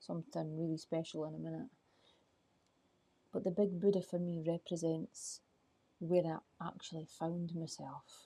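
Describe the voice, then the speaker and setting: A soft-spoken woman talks in a fairly low pitch with a dark, mellow tone. Her intonation stays fairly even. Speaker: life coach. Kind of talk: live stream chat. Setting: outdoors at night.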